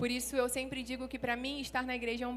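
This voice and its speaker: Someone with a Rio de Janeiro accent talks at a fairly quick pace, with audible room echo. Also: woman. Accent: carioca. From Rio de Janeiro, Brazil. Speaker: pastor. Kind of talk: sermon. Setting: church stage with audience.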